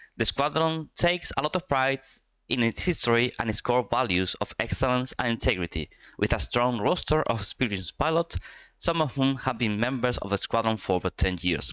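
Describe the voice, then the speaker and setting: A man with a Spanish accent speaks at a medium pitch and a fairly quick pace, his intonation lively, in a very clean recording with a silent background. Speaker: esports commentator. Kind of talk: live commentary. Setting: live stream. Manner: halting.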